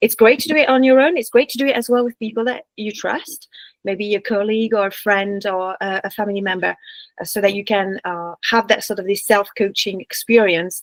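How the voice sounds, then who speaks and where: Speaking fairly quickly with a French accent, a woman at a medium pitch shows ordinary pitch variation and big swings in loudness, in a dry, close sound with no echo. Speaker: business coach. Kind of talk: online workshop presentation. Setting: video call. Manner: hesitant with fillers and restarts.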